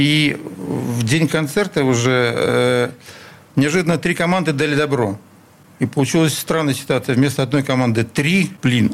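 At a moderate pace, a man talks in a plain, everyday voice, fairly high in pitch, with very even loudness and ordinary pitch variation. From Sызрань, Volga region, Russia; raised in Leningrad from age 8. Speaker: concert promoter. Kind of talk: interview. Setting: radio studio.

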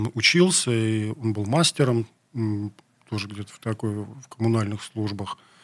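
A man speaks in a medium-pitched voice with ordinary pitch variation. The pace is fairly slow. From Leningrad, city centre. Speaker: rock musician. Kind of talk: interview. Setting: radio studio.

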